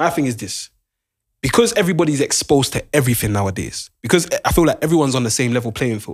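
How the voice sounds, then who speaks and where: A man talks at a very fast pace in a fairly high voice with very wide pitch swings, on a very clean recording with a silent background. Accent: London. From London. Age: 20s. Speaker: podcast co-host. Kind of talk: casual chat. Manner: animated.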